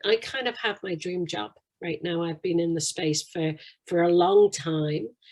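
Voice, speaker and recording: With a British accent, a woman speaks in a fairly low pitch and lively intonation. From UK. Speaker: financial services executive. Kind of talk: interview.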